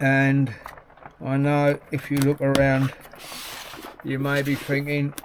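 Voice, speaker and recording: A man with a fairly high pitch speaks very slowly in a monotone with flat intonation. Long, frequent pauses break his speech over noticeable background noise. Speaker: hobby painter YouTuber. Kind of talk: casual unboxing vlog. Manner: quiet at times.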